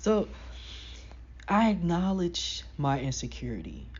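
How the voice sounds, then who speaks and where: A woman speaks at a fairly slow pace with audible room echo. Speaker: self-help vlogger. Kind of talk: casual motivational talk. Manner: animated.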